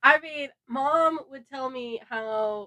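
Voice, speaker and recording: A woman talks with an American accent in a dry, close sound with no echo. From Southern California. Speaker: host's sister, bride-to-be. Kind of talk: casual chat. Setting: her bedroom, makeshift studio.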